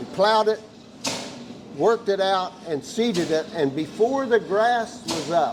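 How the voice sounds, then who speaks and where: At a fairly slow pace, the speech plays out over noticeable background noise. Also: man, high pitch for a man. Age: 80s+. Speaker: tractor club founder. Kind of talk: casual interview. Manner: hesitant, many fillers.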